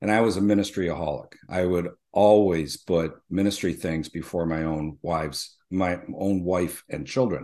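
A man speaks at a moderate pace with a very deep, low pitch and a dark, mellow tone, with hardly any pauses. His intonation stays fairly even over a quiet background. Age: 40s. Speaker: pastor. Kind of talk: casual chat.

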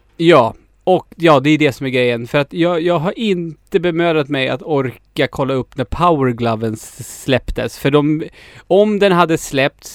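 Here is an ordinary speaking voice at a fairly slow pace with ordinary pitch variation. The sound is dry and close, with no echo. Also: man, fairly high pitch for a man. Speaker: podcast host. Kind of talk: casual chat.

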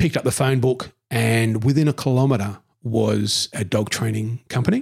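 A man speaks with an Australian accent at a moderate pace, his voice somewhat breathy. The sound is dry and close, with no echo. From Newcastle, New South Wales, Australia. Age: 50s. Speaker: council ranger. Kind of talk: casual interview.

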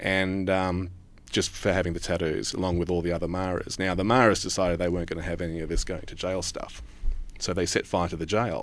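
A man talks at a fairly quick clip with a very deep, low pitch. His intonation stays fairly even. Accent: Australian. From Australia. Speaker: news reporter. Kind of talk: interview conversation.

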